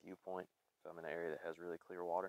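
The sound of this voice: A man with an American accent speaks in a low pitch, with little pitch movement. The sound is dry and close, with no echo.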